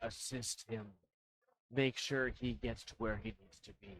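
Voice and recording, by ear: A man does a put-on character voice that is booming. He talks at a medium pitch and a moderate pace.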